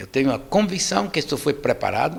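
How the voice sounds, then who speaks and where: Speaking at a moderate pace, a man with a fairly high pitch shows vocal fry. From Cuba. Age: 70s. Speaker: writer and activist. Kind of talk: public talk. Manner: halting, repetitive.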